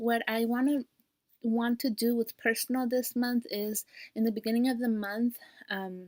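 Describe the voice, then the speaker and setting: A woman's fairly high-pitched voice at a moderate pace, monotone with flat intonation, in a dry, close sound with no echo. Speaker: personal finance vlogger. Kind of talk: casual vlog tutorial.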